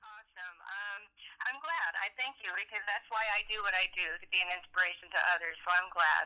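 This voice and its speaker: A woman with a plain, everyday voice speaks at a fairly quick pace, with medium pitch, ordinary pitch variation and big swings in loudness. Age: 60s. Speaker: bodybuilder, nutritionist and trainer. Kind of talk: interview answer.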